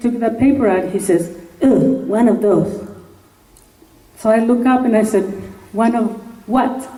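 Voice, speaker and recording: With a Spanish accent, this speaker goes at a fairly slow pace with long, frequent pauses, ordinary pitch variation and very even loudness, amid audible room echo and noticeable background noise. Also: woman. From Mexico. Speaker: congressional candidate. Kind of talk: campaign speech. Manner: animated.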